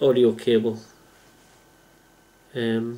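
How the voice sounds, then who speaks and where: A man speaks with an English accent. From England. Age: 30s. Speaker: computer engineer. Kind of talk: casual talk to camera.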